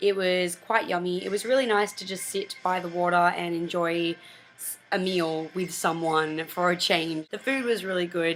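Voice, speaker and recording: With an Australian accent, a woman speaks at a moderate pace and a fairly low pitch with ordinary pitch variation. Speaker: vlogger. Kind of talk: casual vlog monologue. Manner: animated.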